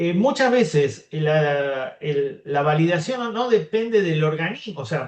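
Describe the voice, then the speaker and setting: Here a man talks at a very slow pace. His voice is fairly high-pitched, with lively intonation. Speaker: molecular biologist, researcher. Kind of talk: academic Q&A.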